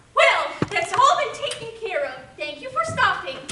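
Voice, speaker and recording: A squeaky, put-on character voice moves at a moderate pace with very wide pitch swings and big swings in loudness, heard with clear echo. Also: woman, extremely high pitch for a woman. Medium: stage play. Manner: fussy, prim.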